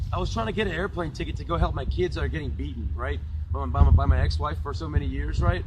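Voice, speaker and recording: Amid noticeable background noise and audible room echo, a man with a very deep, low pitch speaks at a very fast pace, with ordinary pitch variation. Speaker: YouTuber and former test engineer. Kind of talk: casual rant to camera. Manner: animated.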